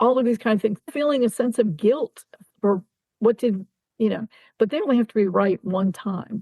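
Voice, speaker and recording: Somewhat breathy with a dark, mellow tone, a woman speaks at a fairly high pitch and moderate pace with an American accent, the sound dry and close with no echo. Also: ordinary pitch variation. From Ohio. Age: 60s. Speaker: army veteran. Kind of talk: interview.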